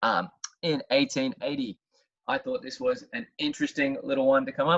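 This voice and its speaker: A man with an Australian accent talks at a fairly quick pace, his fairly high pitch swinging very widely. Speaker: history teacher. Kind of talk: educational talk. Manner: conversational, sarcastic asides.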